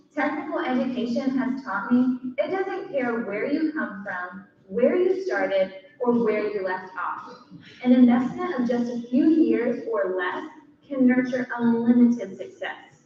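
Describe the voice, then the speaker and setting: In a room with audible echo, a woman speaks fairly slowly in a high pitch, her intonation lively. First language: Spanish. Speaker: nursing graduate giving a speech. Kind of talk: prepared speech.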